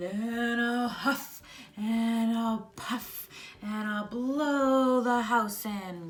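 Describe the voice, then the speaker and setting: The voice is a put-on character voice, pitched fairly high. It unfolds very slowly. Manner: menacing, gruff.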